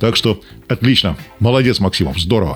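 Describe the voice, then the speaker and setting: Music sits in the background while the man's lively intonation carries his fairly quick delivery. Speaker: radio host. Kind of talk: race report, scripted-sounding radio narration of stage results.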